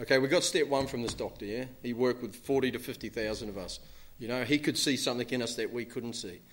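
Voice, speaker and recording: Very fast speech from a man with a New Zealand accent, medium pitch and fairly even intonation. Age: 40s. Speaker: recovering alcoholic speaker. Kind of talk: recovery talk to an audience. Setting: stage with audience. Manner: casual, filler-heavy.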